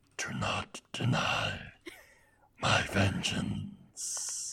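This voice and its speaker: A raspy, put-on character voice from a man. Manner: crying out.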